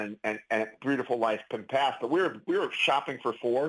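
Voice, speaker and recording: A man with a medium pitch talks at a fairly quick pace with ordinary pitch variation, on a very clean recording with a silent background. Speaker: clinical pharmacist and author. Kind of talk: casual interview chat. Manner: conversational, chatty, animated.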